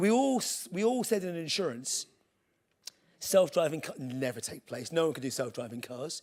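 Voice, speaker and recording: A man with a British accent speaks at a fairly high pitch. His pitch swings very widely, and his loudness swings a lot. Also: moderate pace. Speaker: tech executive giving a conference talk. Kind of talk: conference keynote presentation. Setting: stage with audience. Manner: casual, humorous, with filler words.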